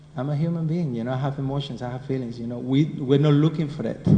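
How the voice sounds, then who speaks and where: A man with a Spanish accent, medium pitch with ordinary variation, at a fairly quick pace. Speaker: spiritual teacher. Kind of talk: scripture class. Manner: conversational.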